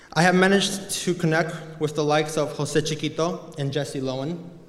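Audible room echo is present. A man talks with fairly even intonation. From Mexico. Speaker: college student. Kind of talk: speech. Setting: chapel with audience.

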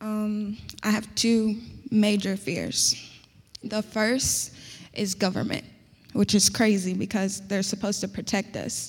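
Monotone and flat in intonation, a woman with an American accent speaks at a medium pitch and a fairly slow pace, somewhat breathy, with long, frequent pauses. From US Midwest, Indianapolis. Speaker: college student. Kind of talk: panel discussion.

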